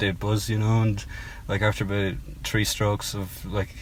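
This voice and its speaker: A man with a Cork accent, fairly low in pitch and somewhat breathy, with audible room echo. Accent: Irish (Cork). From Cork, southern Ireland. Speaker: singer-songwriter. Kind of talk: casual interview. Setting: in a parked car. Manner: hesitant, many ums.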